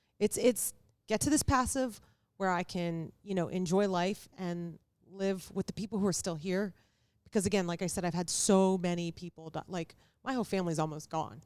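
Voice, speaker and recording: Her pitch is medium for a woman, with ordinary variation. She uses a normal speaking voice at a moderate pace. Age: 40s. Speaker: real estate investor and entrepreneur. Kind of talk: casual chat.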